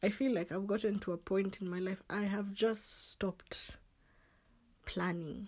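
Somewhat breathy, a woman speaks fairly slowly at a medium pitch with fairly even intonation. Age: 20s. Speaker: podcast host. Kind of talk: casual solo monologue.

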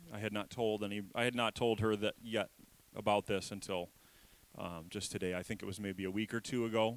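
At a fairly quick pace, this is an ordinary speaking voice with fairly even intonation. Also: man, fairly low pitch for a man. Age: 30s. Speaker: pastor. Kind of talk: sermon. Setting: church. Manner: casual, conversational.

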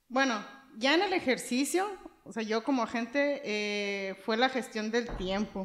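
A woman talks at a very slow pace with a fairly high pitch. Her pitch varies in an ordinary way. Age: 30s. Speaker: insurance agent. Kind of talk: podcast interview.

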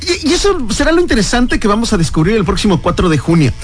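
Over noticeable background noise and audible room echo, a man talks at a very fast pace, high in pitch with very wide pitch swings. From Mexico. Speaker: radio host. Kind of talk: radio interview. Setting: studio.

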